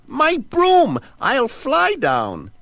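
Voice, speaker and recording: A man's put-on character voice, extremely high, raspy and cackling. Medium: read story. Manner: cackling, excitable.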